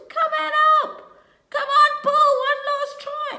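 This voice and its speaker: This put-on character voice is squeaky and extremely high, delivered at a fairly slow pace. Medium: read story. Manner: animal noises.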